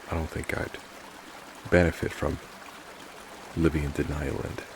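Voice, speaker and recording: Noticeable noise sits in the background. A man speaks fairly slowly over it. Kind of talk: reflective heart-to-heart talk about mental health and life. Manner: gentle, sincere, reassuring.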